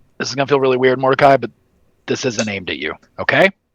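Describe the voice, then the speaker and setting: A man puts on a raspy character voice at a medium pitch, speaking very fast in a confident tone. The sound is dry and close, with no echo. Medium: actual play. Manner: blunt, confident.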